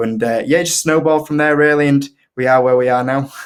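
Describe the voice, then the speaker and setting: A man speaks at a fairly quick pace in a strong Yorkshire accent, his intonation fairly even. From northern England, Leeds, Yorkshire. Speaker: investing YouTuber. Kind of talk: casual interview chat. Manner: hesitant, many fillers.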